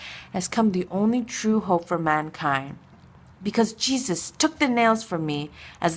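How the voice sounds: Lively intonation colors a natural reading voice.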